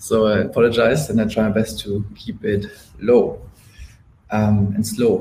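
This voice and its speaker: Light noise sits behind a man whose intonation is fairly even. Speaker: restaurant marketing specialist; presenter. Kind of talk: webinar presentation. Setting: live webinar. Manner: fast. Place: home room.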